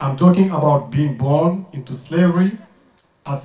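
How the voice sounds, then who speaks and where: This man's dark, mellow tone comes across somewhat breathy at a moderate pace, with audible room echo. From Mauritania. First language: French. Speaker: activist and rapper; speaker. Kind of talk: protest speech. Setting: outdoor demonstration with crowd. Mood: serious, grave. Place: open country.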